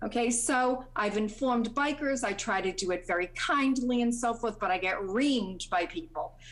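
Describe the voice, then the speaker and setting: Moderate pace, lively intonation and very even loudness throughout. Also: woman, fairly high pitch for a woman. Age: 60s. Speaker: landowner speaking at public hearing. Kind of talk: public comment at planning board hearing. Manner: halting, many fillers.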